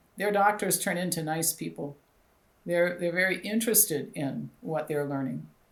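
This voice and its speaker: A plain, everyday voice from a woman, fairly low in pitch, at a moderate pace with ordinary pitch variation. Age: 60s. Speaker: doctor and health clinic founder. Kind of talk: interview.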